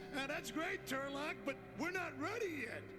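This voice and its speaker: A cartoonish character voice at a moderate pace over loud background noise. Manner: gruff, pushy.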